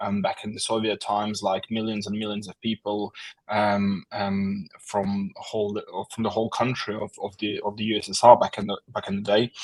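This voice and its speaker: Dry and close with no echo, a man's fairly low voice with an Estonian accent keeps a flat, monotone intonation at a moderate pace. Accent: Russian-speaking Estonian English. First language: Russian. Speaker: war translator, social media manager. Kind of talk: interview. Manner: halting, many fillers.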